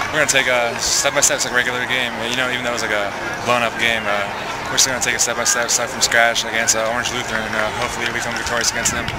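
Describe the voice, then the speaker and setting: A man at a very fast pace over loud background noise, the sound dry with no echo. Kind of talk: interview answer. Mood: happy after a win. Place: stadium.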